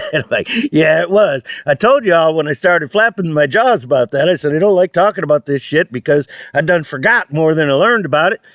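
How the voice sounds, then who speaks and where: Very fast and animated, a man's fairly high voice carries lively intonation at very even loudness, in a dry, close sound with no echo. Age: old. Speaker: vlogger. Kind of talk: casual vlog monologue. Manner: rambling, animated.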